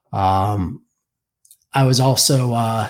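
A man with an American accent talks in a calm tone with ordinary pitch variation. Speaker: military veteran. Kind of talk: interview. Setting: remote call. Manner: even, never raises voice; calm, understated.

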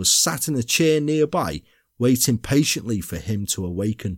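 A man speaks in a British accent. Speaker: true crime podcaster. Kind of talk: true crime narration, dramatic storytelling read in a measured, suspenseful tone. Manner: formal, literary storyteller.

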